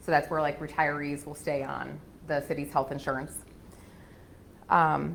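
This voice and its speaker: With very deep, low pitch and monotone, flat intonation, a woman speaks at a moderate pace, leaving long, frequent pauses, in a room with audible echo. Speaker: auditor. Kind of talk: presentation to city council. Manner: loud; hesitant, many fillers.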